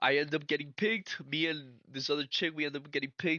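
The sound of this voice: A man speaks with fairly even intonation and a bright, sharp tone in a dry, close sound with no echo.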